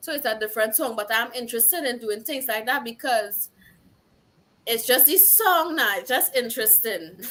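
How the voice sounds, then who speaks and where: A woman's high voice in a strong Trinidadian accent, bright and sharp in tone, with lively intonation and a moderate pace. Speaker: singer-songwriter. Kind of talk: interview.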